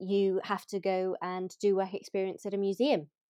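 The sound is dry and close with no echo. A woman with a dark, mellow tone speaks at a fairly slow pace. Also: quiet background. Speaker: podcast co-host. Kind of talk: casual chat.

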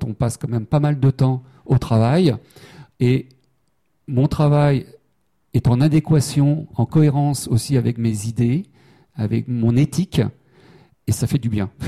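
A man with a dark, mellow tone and medium pitch speaks somewhat breathily at a fairly slow pace, with ordinary pitch variation and a dry, close sound with no echo. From Brittany, Saint-Brieuc. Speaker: humanitarian worker. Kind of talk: interview. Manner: halting, many repeated words.

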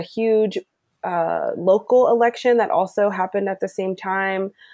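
A woman speaks with an American accent at a moderate pace and a fairly high pitch. The recording is very clean, with a silent background. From US, Maryland (Glen Burnie). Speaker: environmental program manager. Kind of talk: interview.

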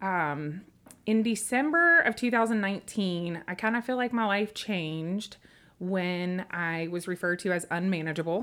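This woman speaks with a Tennessee accent at a moderate pace. Her tone is bright and sharp, her pitch medium. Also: ordinary pitch variation, very clean recording, silent background. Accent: Southern US (Tennessee). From West Tennessee, US South (Humboldt, Memphis). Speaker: small business owner, charcuterie shop founder. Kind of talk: casual interview chat.

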